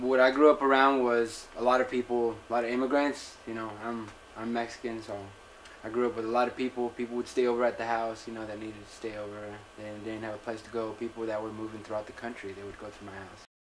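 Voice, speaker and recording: Over noticeable background noise, a man with an American accent talks at a very fast pace. His delivery is flat and monotone, with big swings in loudness. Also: medium pitch for a man. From Texas, Laredo. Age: 20s. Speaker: interviewee. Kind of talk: interview testimony.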